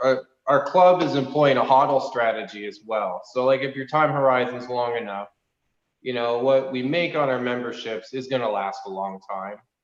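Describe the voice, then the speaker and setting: In an unremarkable speaking voice, a man talks at a medium pitch and moderate pace. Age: 30s. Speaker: racing club founder. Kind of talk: casual chat.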